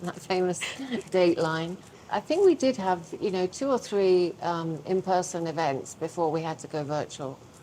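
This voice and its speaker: Someone with a British accent speaks at a moderate pace with ordinary pitch variation, and noticeable background noise can be heard. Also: woman, fairly low pitch for a woman. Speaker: publishing business owner. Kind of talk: podcast interview.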